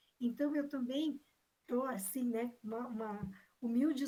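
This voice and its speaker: A high-pitched woman at a fairly slow pace. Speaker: examination panel member. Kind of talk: academic defense questioning.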